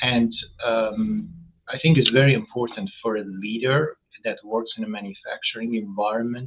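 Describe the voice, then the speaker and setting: A man with a non-native accent speaks at a fairly slow pace. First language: not English. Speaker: food safety executive. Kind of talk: interview. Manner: halting, many fillers and repetitions.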